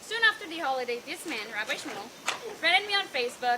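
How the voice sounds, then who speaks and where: Over noticeable background noise, a woman with a high pitch talks fairly quickly in a raised, projected voice. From Israel, Bat Yam. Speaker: graduating student. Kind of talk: farewell speech. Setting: event with audience.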